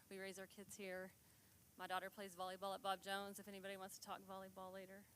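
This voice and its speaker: A woman's medium-pitched voice with a bright, sharp tone. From Texas. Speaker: forensic accountant giving a talk. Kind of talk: community presentation. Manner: soft-spoken.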